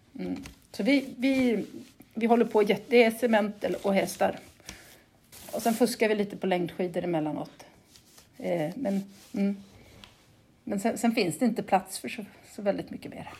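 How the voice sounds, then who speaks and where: A woman speaks at medium pitch and a moderate pace with long, frequent pauses. Her tone is dark, mellow and somewhat breathy, with ordinary pitch variation. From Sweden, Gotland. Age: 40s. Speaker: cement plant manager, geologist. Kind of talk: interview. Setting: remote call. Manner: halting, many repetitions.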